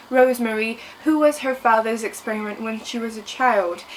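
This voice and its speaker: Noticeable background noise surrounds a woman talking at a high pitch. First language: French. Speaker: book vlogger. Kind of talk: book review vlog. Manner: enthusiastic.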